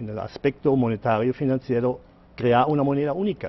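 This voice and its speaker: A man speaks at a moderate pace, his medium pitch moving with ordinary variation. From Germany. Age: 60s. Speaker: economist and author. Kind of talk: TV interview. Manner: halting.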